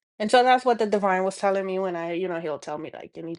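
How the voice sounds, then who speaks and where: With a Dominican accent, a woman speaks at medium pitch with ordinary pitch variation. The background is quiet, and the sound is dry and close with no echo. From Dominican Republic. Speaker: spiritual healing vlogger. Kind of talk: personal testimony monologue. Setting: speaking to camera. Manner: halting, many fillers.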